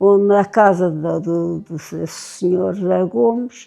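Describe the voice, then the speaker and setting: This woman has a dark, mellow tone. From Portugal, A-dos-Negros (Óbidos area, Oeste). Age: 80s+. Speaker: elderly villager sharing memories. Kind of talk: oral history interview. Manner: halting, with repetitions.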